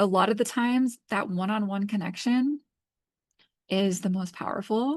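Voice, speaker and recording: Against a quiet background, a woman with a somewhat breathy, medium-pitched voice talks at a moderate pace. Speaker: tarot and astrology reader. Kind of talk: oracle card reading. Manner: casual, filler-heavy.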